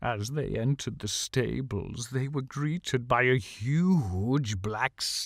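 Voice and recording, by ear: The recording consists of reading aloud in a natural voice.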